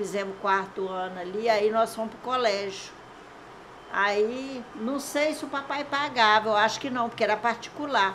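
Audible room echo surrounds the speaker. She is a woman with a fairly high pitch. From Aimorés, Minas Gerais, Brazil. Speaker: longtime resident sharing local history. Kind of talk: oral history interview. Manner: rambling storytelling.

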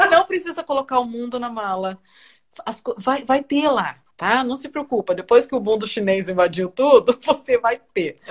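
A woman speaks at a moderate pace in a high pitch, with lively intonation and big swings in loudness. The sound is dry and close, with no echo. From Brazil (Brasília). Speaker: journalist. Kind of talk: casual chat. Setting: video call.

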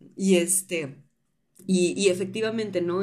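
A woman speaks in a Tamaulipas Mexican accent with a dark, mellow tone. Room echo is audible. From Tampico, Mexico. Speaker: podcast host. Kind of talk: casual chat.

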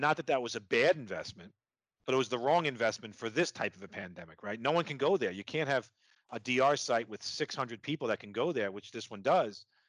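Against a quiet background, a man with a medium-pitched voice and a strong New York accent speaks with lively intonation and big swings in loudness. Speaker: podcast host. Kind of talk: interview conversation. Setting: video call.

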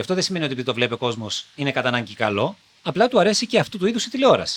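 Very fast speech from a man, high in pitch, with very wide pitch swings. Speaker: TV presenter. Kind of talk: interview. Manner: articulate.

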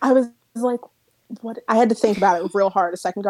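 A woman speaks at a fairly quick pace with an East Coast US accent, her tone dark and mellow. The sound is dry and close with no echo, and her pitch varies in an ordinary way. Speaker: podcast guest. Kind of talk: casual chat. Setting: video call.

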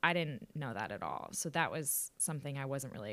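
Vocal fry runs through this voice with an American accent. The pace is fairly quick. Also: woman. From Austin, Texas. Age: 20s. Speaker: podcast host, former reality TV contestant. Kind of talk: casual interview. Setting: video call.

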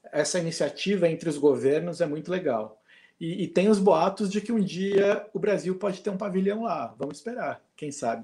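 This man has a dark, mellow tone and a high pitch, speaking at a moderate pace with ordinary pitch variation. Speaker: former theme park worker. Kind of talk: casual chat.

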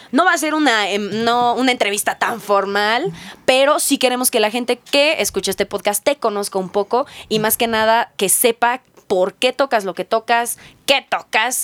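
A woman with a Mexican accent and fairly high pitch, at a moderate pace with lively intonation, in a dry, close sound with no echo. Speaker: podcast host. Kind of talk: casual interview.

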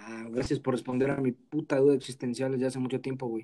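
A man's dark, mellow voice with a Mexican accent. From Mexico, Guerrero. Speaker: podcast host. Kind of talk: casual chat. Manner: robotic, announcer-like.

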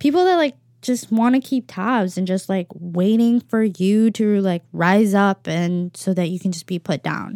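Speaking with hardly any pauses, a woman has a dark, mellow tone and ordinary pitch variation. The recording is very clean with a silent background. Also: medium pitch for a woman, fairly slow pace, dry, close sound with no echo. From Philippines, raised in several countries. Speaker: podcast host. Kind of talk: casual monologue. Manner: casual, filler-heavy.

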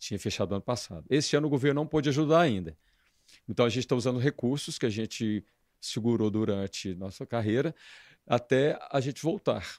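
With a plain, everyday voice, a man speaks at a fairly quick pace and medium pitch, his intonation lively, on a very clean recording with a silent background and a dry, close sound with no echo. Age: 50s. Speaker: dance band leader. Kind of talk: casual interview.

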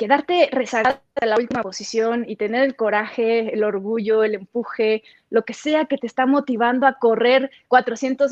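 With fairly even intonation, a woman talks at a moderate pace in a high voice. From Sinaloa, Mexico (Los Mochis). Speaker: sports broadcaster. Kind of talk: casual interview.

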